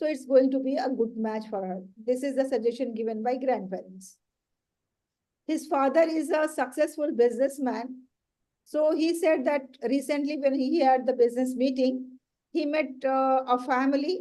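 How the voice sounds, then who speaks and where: Speaking at a moderate pace in a Pakistani accent, a woman has a high pitch, a dark, mellow tone and ordinary pitch variation. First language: Urdu. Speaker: education trainer and author. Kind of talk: training workshop.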